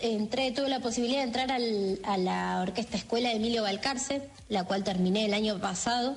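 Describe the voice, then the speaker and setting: Over noticeable background noise and audible room echo, a woman talks at a moderate pace and a fairly high pitch with ordinary pitch variation, very even loudness and hardly any pauses. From Argentina, Mar del Plata. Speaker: pianist and arranger. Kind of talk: interview. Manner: hesitant, many fillers.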